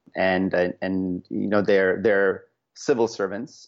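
A man with an American accent, fairly low in pitch, at a fairly slow pace and fairly even intonation. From northeast India, moved to US as teen. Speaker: startup founder. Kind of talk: casual interview chat. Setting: in-person recording at a startup campus. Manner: halting, many fillers and repeated words; laughs often.

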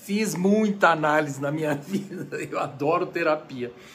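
A man's fairly high voice with lively intonation and audible room echo. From Brazil. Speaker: conductor and music lecturer. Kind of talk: lecture. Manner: casual, chatty.

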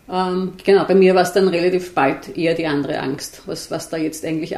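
With noticeable background noise behind her, a woman talks at a fairly quick pace in a fairly low voice with fairly even intonation. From Austria, Vienna. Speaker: journalist and author. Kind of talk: interview conversation. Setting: on a couch in a living room. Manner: hesitant, with fillers and repetitions.

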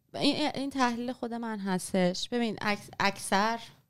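On a very clean recording with a silent background, a woman speaks. She has an unremarkable speaking voice, a moderate speed and ordinary pitch variation. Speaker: writer and former journalist. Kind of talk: casual interview on history.

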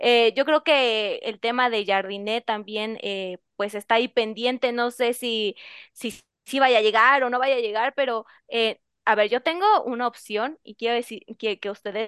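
A woman with a fairly high pitch talks at a fairly slow pace in fairly even intonation, an ordinary speaking voice heard dry and close with no echo over a quiet background. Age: young. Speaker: radio sports panelist. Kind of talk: sports talk radio.

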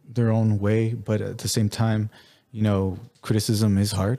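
Heard on a very clean recording with a silent background, a man speaks at medium pitch in a dark, mellow tone. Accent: American. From El Paso, Texas (US-Mexico border). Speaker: artist and gallery owner. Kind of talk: interview. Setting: art gallery.

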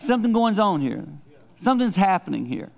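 A man talks with a high pitch. His pitch swings very widely. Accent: Southern US. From the Carolinas. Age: 60s. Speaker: pastor. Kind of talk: sermon. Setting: church.

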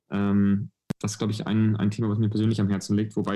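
A man talks at a very fast pace in a monotone, flat intonation, his fairly low voice dark and mellow in tone. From southwestern Germany, near Stuttgart. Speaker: venture capital investor. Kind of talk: podcast interview. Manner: hesitant, many fillers.

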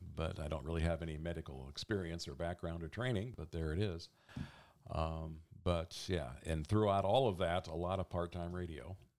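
A man's very deep, low voice in an American accent, with ordinary pitch variation at a moderate pace, on a very clean recording with a silent background. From Oregon, US Pacific Northwest (Eugene). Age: 60s. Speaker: radio volunteer and office supervisor. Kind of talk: interview storytelling. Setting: at home, in his office.

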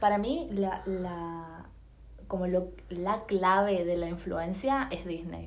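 Speaking very slowly at a medium pitch, a woman with an Argentine accent is heard with audible room echo and noticeable background noise. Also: ordinary pitch variation. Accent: Rioplatense Argentine Spanish. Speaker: podcast co-host. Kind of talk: casual chat.

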